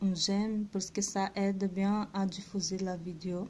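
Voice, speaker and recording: Speaking at a very slow pace with a non-native accent, a woman uses a medium pitch and a dark, mellow, somewhat breathy tone. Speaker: religious video creator. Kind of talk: devotional reflection. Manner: halting.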